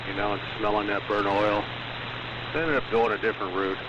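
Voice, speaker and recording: Noticeable background noise and audible room echo around a fairly quick male voice pitched fairly low. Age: 60s. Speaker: ham radio operator. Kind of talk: casual chat. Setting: amateur radio net.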